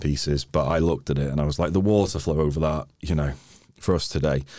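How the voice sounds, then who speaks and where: Talking at a very fast pace, a man with a North Wales accent has a very deep, low pitch, a dark, mellow tone, vocal fry and fairly even intonation. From North Wales, Wrexham area. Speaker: climber and hiker. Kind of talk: casual chat.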